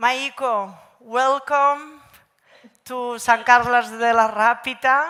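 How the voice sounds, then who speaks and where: In a Catalan accent, a woman speaks with a bright, sharp tone and fairly even intonation. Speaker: panel moderator. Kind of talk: panel moderation. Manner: halting.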